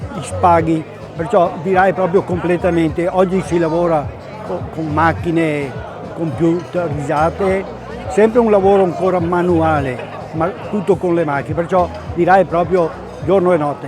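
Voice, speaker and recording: Over music in the background and audible room echo, a man with a high pitch speaks at a moderate pace with fairly even intonation and long, frequent pauses. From Veneto, Treviso area. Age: 80s+. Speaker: company founder. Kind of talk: interview. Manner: halting.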